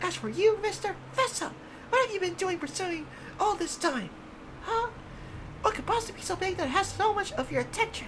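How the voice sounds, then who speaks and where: Doing a put-on character voice, a man squeaks at an extremely high pitch, pausing long and often over clear background noise. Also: fairly quick pace. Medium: game stream. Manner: eager, pushy.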